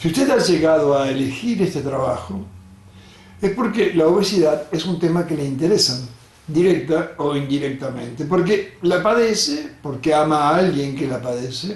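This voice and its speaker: Lively intonation in an Argentine accent at a moderate pace, with audible room echo and noticeable background noise. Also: man, fairly high pitch for a man. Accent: Rioplatense Argentine Spanish. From Argentina, Rosario. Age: 70s. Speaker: doctor. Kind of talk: lecture.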